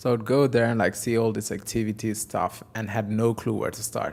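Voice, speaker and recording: A man with a Portuguese accent talks at a fairly quick pace in a fairly low pitch. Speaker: software developer and conference speaker. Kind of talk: technical talk. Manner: halting.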